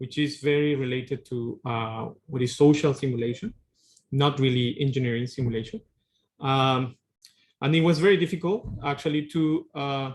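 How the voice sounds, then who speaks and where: Somewhat breathy, a man with a Spanish accent speaks at a moderate pace and fairly high pitch with ordinary pitch variation. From Peru. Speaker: tsunami engineering researcher. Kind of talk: lecture.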